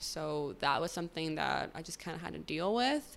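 A woman's very deep, low voice with an American accent at a moderate pace. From Chicago suburbs. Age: 20s. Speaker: podcast host. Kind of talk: solo monologue podcast.

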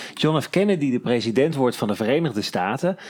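With an ordinary speaking voice, a man talks at a moderate pace in a fairly high pitch with lively intonation. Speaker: podcast host.

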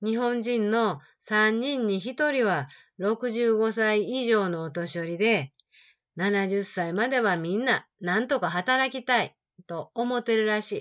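At a very slow pace, a woman talks in a warm tone with a fairly high pitch and ordinary pitch variation. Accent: Kansai. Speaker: Japanese teacher podcaster. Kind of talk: reading a personal letter aloud. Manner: warm, conversational.

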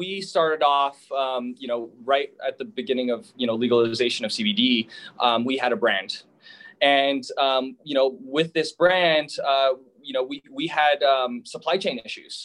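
At a moderate pace, a man with a plain, everyday voice talks with lively intonation. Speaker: hemp business owner. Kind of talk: interview.

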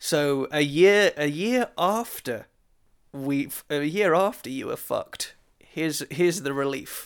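A man's fairly high voice with a British accent, fairly slow and lively in intonation, in a very clean recording with a silent background. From Britain. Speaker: podcast co-host. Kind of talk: casual chat.

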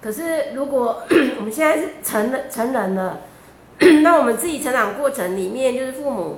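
The speaker talks at a moderate pace with lively intonation. Audible room echo and noticeable background noise surround the voice. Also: woman. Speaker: event moderator. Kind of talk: Q&A moderation. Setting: livestream studio.

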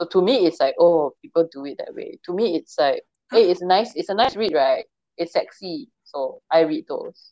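A woman talks at a moderate pace with big swings in loudness. The sound is dry and close, with no echo. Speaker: podcast host. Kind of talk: casual chat. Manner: animated, joking.

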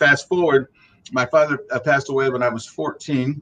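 Here a man with an American accent speaks at medium pitch and a moderate pace. He has a plain, everyday voice with fairly even intonation. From Ohio, US Midwest. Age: 50s. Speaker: arts diversity officer. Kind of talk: interview.

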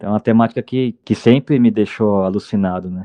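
Ordinary variation marks the pitch. The delivery is very fast. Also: man. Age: 30s. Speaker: football coach, journalist and punk band singer. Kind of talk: casual chat.

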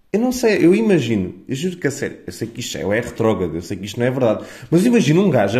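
A man with a fairly high pitch, very wide pitch swings, an animated tone and a very fast pace. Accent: European Portuguese. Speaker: podcaster. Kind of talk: casual monologue.

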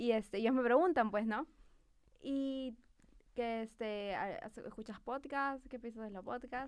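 At a fairly slow pace, a woman with a high voice speaks with ordinary pitch variation and big swings in loudness. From Peru. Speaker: marketing professional. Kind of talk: casual chat. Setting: studio.

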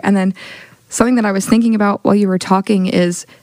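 With an American accent, a woman talks very fast in fairly even intonation against noticeable background noise. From Oklahoma City. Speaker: church ministry intern. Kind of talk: casual chat.

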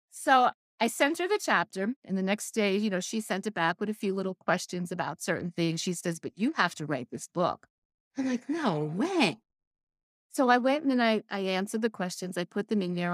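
A woman with an ordinary speaking voice talks at medium pitch with lively intonation. The sound is dry and close with no echo, in a very clean recording with a silent background. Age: 60s. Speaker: author and life coach. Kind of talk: casual interview chat.

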